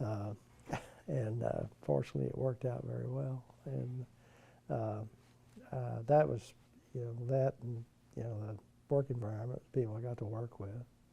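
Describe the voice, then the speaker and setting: Somewhat breathy and dark, mellow in tone, a man of medium pitch speaks at a moderate pace with lively intonation and long, frequent pauses. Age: 70s. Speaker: retired OB-GYN doctor. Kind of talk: oral history interview. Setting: recorded interview with mic pack. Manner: halting, many fillers.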